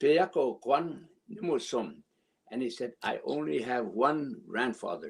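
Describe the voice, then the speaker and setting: Using vocal fry, a man speaks at a very slow pace with lively intonation. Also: fairly high pitch for a man. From Canada, Saskatchewan (Red Pheasant First Nation). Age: 80s+. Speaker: elder storyteller. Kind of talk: storytelling, reading a children's book aloud.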